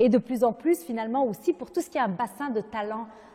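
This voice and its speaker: The woman's voice is fairly high and her intonation lively. She keeps a moderate pace. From Lebanon. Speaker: nonprofit founder and president. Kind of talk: interview.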